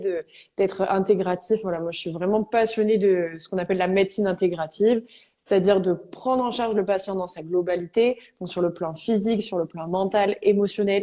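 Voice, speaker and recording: A woman's dark, mellow voice moves with fairly even intonation. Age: 20s. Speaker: medical intern and yoga teacher. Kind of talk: live interview. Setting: remote live stream from home.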